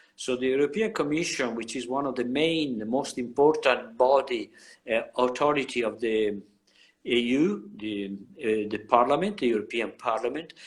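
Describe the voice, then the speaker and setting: A man with an Italian accent speaks at a moderate pace, his medium-pitched voice carrying lively intonation. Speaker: professor. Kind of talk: lecture. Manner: halting.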